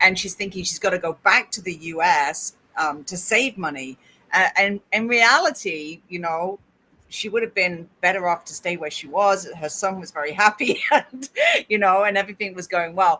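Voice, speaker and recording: A woman speaks at a moderate pace with a medium pitch, ordinary pitch variation and a bright, sharp tone. Her loudness swings widely. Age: 50s. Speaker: podcast host and interviewer. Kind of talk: casual chat.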